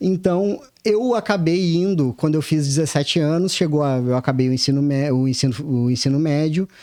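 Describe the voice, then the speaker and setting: The background is quiet. A man speaks in a fairly high pitch with a dark, mellow tone. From Rio Grande do Sul, Brazil (Pelotas, Uruguaiana). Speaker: civil servant and exam-prep mentor. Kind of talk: podcast interview. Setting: studio. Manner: halting, many self-corrections.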